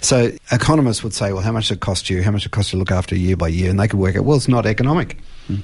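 A man talks at a very fast pace with an Australian accent. His pitch is fairly low, with ordinary variation. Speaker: forester, farmer and university lecturer. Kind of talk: radio interview. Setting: radio studio.

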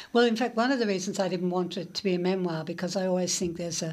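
A woman speaks with an Australian accent. Her pitch is medium and her intonation fairly even. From Melbourne outer suburbs, Australia. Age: 70s. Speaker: literary critic and journalist. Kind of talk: radio interview.

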